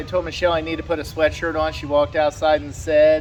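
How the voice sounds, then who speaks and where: A man talks at a very fast pace with fairly high pitch. Noticeable background noise is present. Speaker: YouTuber. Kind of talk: casual chat. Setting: outdoors. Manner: loud. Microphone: camera far away.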